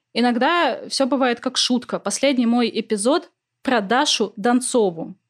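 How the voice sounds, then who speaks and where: A woman with a high pitch talks at a fairly slow pace and very even loudness in a very clean recording with a silent background. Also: ordinary pitch variation. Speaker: literary podcaster, philologist. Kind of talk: casual interview.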